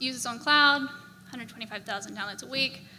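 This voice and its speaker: A woman with an Australian accent speaks in a raised, projected voice with ordinary pitch variation, and the room echo is audible. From Australia, Brisbane. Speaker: software engineer. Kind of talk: conference talk. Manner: casual, filler-heavy.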